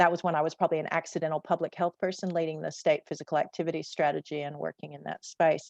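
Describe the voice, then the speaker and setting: With an American accent, a woman speaks at a very fast pace in a very deep, low pitch with vocal fry, monotone, flat intonation, big swings in loudness and hardly any pauses, in a dry, close sound with no echo. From USA. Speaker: public health student success coach. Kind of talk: panel discussion.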